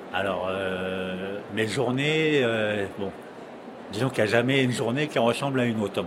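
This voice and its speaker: Speech comes at a fairly slow pace with ordinary pitch variation. There is audible room echo along with noticeable background noise. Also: man, medium pitch for a man. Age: 50s. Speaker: gardener. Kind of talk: testimony. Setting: trade fair. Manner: halting, many hesitations.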